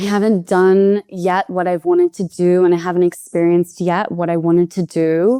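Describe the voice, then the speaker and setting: A woman with an Australian accent, medium pitch, a dark, mellow tone and fairly even intonation, at a moderate pace, in a dry, close sound with no echo. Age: 20s. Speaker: podcast guest, expat food writer. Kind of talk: interview conversation. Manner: hesitant, with repetitions.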